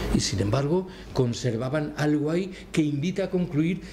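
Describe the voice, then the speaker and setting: Audible room echo surrounds a man who speaks at a moderate pace with a fairly high pitch and ordinary pitch variation. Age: 60s. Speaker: political writer and lecturer. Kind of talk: Q&A after a lecture. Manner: formal.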